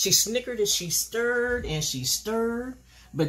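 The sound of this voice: An unforced reading voice carries the text. Lively intonation shapes each line.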